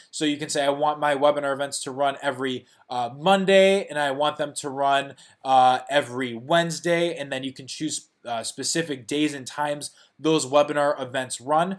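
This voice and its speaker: In a very clean recording with a silent background, a man with a Chicago accent talks at a moderate pace and a fairly high pitch with fairly even intonation. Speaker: software founder. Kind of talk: tutorial. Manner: casual, many fillers.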